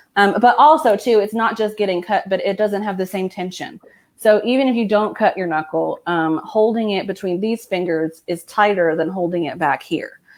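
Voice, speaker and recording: A woman with an unremarkable speaking voice talks at medium pitch. Her pace is moderate and her pitch variation ordinary. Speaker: hairstylist. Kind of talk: live tutorial over video.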